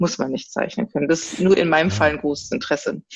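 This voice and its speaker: A woman speaks with lively intonation in a very deep, low voice. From Germany. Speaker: designer. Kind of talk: interview. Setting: remote call. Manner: halting.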